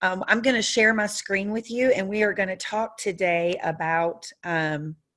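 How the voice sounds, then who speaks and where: Against a quiet background, a woman speaks with a Southern US accent. Her pitch is medium and her pace fairly slow. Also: ordinary pitch variation. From US South. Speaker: software trainer. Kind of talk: training webinar. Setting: video call with screen share. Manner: frequent fillers (um, uh). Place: home room. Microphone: webcam.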